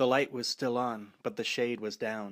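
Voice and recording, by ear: A passage read aloud in a natural voice.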